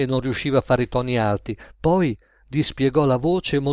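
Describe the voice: This is plain reading aloud, and its pitch varies in an ordinary way.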